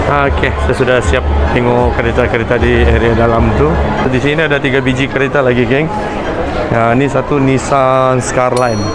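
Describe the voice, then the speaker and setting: Over music in the background, a man speaks at a moderate pace. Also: ordinary pitch variation. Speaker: vlogger. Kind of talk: casual vlog chat. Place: hall. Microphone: phone near.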